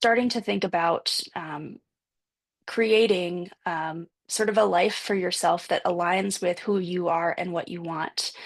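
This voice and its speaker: A woman speaks in a normal speaking voice at medium pitch. Her pitch varies an ordinary amount over a quiet background. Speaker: panelist presenting on a support group. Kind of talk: panel presentation with slides. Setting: video call.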